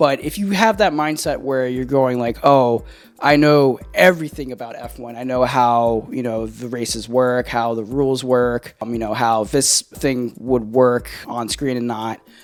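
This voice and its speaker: Over background music, a man speaks at a fairly slow pace with hardly any pauses and big swings in loudness, his medium pitch showing ordinary variation. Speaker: film reviewer. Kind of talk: casual video review. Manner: many fillers and hesitations.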